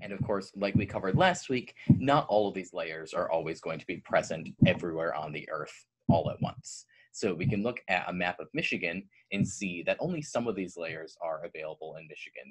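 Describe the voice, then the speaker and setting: A man speaks at a fairly quick pace, his loudness swinging widely. The background is quiet. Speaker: presenter. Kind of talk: educational presentation. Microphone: webcam.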